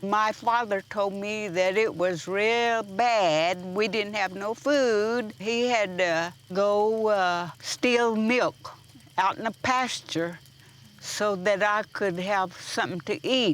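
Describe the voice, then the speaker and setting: At a very slow pace, a woman with an American accent talks at medium pitch with ordinary pitch variation. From Oklahoma, Chickasaw community. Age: 90s. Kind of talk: personal storytelling. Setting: fireside gathering.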